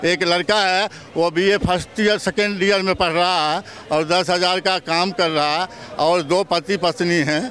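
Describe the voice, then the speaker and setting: A man's high-pitched voice at very even loudness. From Bihar, India. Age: 60s. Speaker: laborer and farmer interviewed in street. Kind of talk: street interview. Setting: outdoors on street. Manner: animated.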